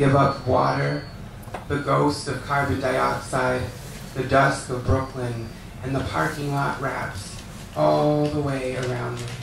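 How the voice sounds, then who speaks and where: A man with an American accent speaks at a very slow pace. Audible room echo and noticeable background noise accompany him. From California. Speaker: poet. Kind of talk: poetry reading. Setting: stage with audience.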